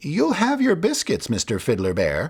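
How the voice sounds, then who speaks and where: Using a put-on character voice, a man speaks at high pitch and a moderate pace. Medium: read story. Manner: nervous, suspicious.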